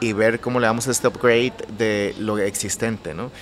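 Over noticeable background noise, a man speaks at a moderate pace and a medium pitch. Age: 30s. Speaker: architect and interior designer. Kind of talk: interview. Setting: his own café.

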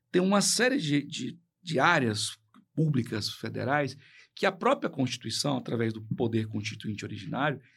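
A man talks at a moderate pace, his pitch swinging very widely. It is a very clean recording with a silent background. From Brazil, Tocantins (Colinas). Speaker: public official and lawyer. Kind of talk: radio interview. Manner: halting, repeats words.

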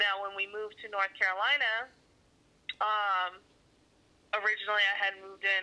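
In an American accent, a woman speaks at a moderate pace with a medium pitch, a bright, sharp tone and monotone, flat intonation. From Arizona. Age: 20s. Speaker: single mother. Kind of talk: casual interview.

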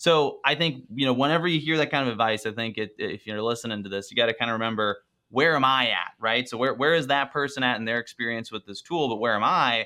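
A man at a very fast pace with hardly any pauses and ordinary pitch variation. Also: medium pitch for a man. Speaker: video production business owner. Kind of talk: casual interview conversation.

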